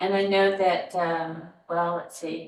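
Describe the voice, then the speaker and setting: A woman's fairly low voice, very slow, with monotone, flat intonation. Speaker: family history interviewer. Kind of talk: interview questions.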